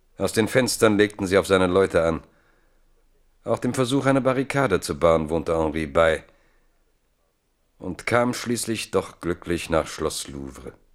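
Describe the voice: A man's low voice with lively intonation, a fairly slow pace and long, frequent pauses on a very clean recording with a silent background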